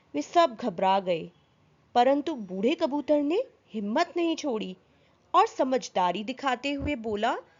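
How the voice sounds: A woman's high voice at a fairly slow pace, with big pitch swings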